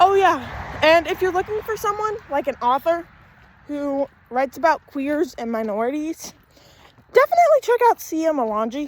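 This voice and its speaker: Loud speech at a moderate pace, with long, frequent pauses and very wide pitch swings, comes through a dry, close sound with no echo and noticeable background noise. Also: woman, extremely high pitch for a woman. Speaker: vlogger. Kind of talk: casual walking vlog. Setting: outdoors, walking. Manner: casual, rambling.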